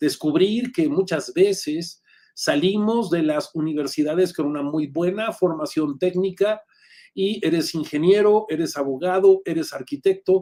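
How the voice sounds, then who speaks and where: This man's voice is high-pitched. His pitch sits high for a man. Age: 60s. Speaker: executive coach and lecturer. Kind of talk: online lecture.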